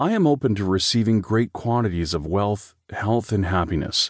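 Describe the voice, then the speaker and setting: A man with an unremarkable speaking voice and lively intonation, against a quiet background. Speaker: audiobook narrator. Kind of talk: audiobook narration of guided affirmations, reading aloud.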